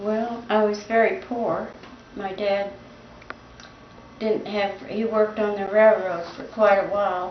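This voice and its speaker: In an American accent, a woman speaks at a fairly slow pace and medium pitch with monotone, flat intonation and long, frequent pauses, with noticeable background noise and audible room echo. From US Midwest, Indiana. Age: 90s. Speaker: grandmother recalling the Great Depression. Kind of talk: family interview. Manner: halting, with fillers.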